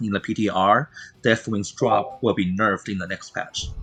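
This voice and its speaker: Music plays behind a man speaking with a non-native accent. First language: not English. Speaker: esports caster. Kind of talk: live commentary. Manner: halting, many fillers.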